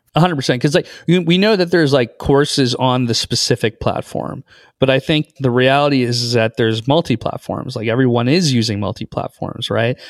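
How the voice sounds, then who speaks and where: In a dry, close recording with no echo, a man with a plain, everyday voice speaks at a fairly quick pace with hardly any pauses, his medium pitch showing ordinary pitch variation. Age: 30s. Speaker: investor and podcast host. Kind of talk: interview.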